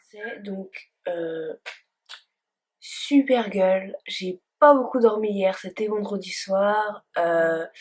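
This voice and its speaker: A woman's medium-pitched voice with big swings in loudness and ordinary pitch variation. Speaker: beauty vlogger. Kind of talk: makeup tutorial chat. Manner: hesitant, many fillers.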